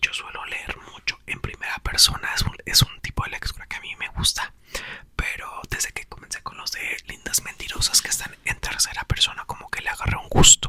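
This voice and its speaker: Whispering at a moderate pace, a man's voice swings widely in loudness over noticeable background noise. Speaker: YouTuber. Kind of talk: ASMR reading aloud; casual chat.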